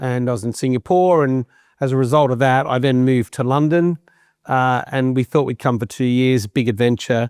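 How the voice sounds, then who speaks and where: At a moderate pace, a man talks at a medium pitch with fairly even intonation, the sound dry and close with no echo. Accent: Australian. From Australia, Sydney. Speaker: business executive. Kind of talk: interview.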